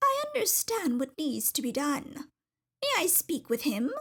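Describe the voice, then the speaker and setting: A woman puts on a character voice, high in pitch. She speaks at a moderate pace. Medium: read story. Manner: poised.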